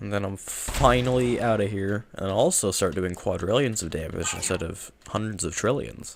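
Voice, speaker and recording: This man keeps to a moderate pace as he talks. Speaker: gaming streamer. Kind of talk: gameplay commentary. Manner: casual, self-deprecating. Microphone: nice mic.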